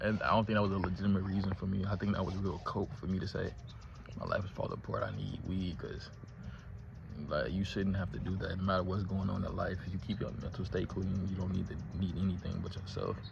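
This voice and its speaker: In a room with audible echo, a man with a very deep, low pitch talks very fast, his intonation fairly even. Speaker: vlogger. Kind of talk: casual vlog. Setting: outdoors.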